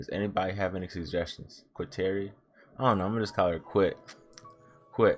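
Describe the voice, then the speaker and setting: The speaker goes at a very fast pace yet leaves long, frequent pauses, with fairly even intonation and music playing in the background. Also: man, fairly low pitch for a man. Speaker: manga reaction youtuber. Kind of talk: casual reaction commentary with reading aloud.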